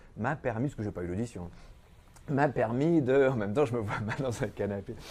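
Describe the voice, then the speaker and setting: A man's dark, mellow tone at medium pitch, with ordinary pitch variation. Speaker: actor and singer. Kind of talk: TV interview. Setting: TV studio.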